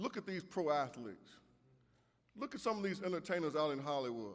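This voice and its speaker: This man speaks at a moderate pace with lively intonation. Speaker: preacher. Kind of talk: sermon. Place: church. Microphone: podium.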